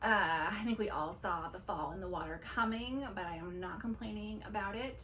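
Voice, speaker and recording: A woman at a fairly slow pace against noticeable background noise. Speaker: movie reviewer. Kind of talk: casual talk to camera. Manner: enthusiastic.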